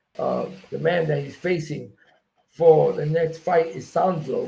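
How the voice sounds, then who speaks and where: A man with an American accent speaks at a fairly slow pace in a fairly high pitch, with fairly even intonation, vocal fry and a dark, mellow tone. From New York, South Bronx. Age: 60s. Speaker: MMA promoter and former fighter. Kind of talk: interview.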